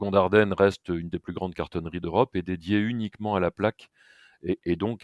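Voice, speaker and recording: Very deep, low male voice with fairly even intonation, dry and close with no echo, over a quiet background. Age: 60s. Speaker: packaging company president. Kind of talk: podcast interview. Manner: hesitant, many filler sounds.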